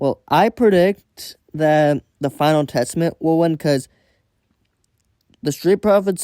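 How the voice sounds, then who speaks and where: Fairly high in pitch with a dark, mellow tone, a man speaks fairly slowly with ordinary pitch variation, in a dry, close sound with no echo. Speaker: wrestling vlogger. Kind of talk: solo predictions monologue. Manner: stuttering; halting, self-correcting.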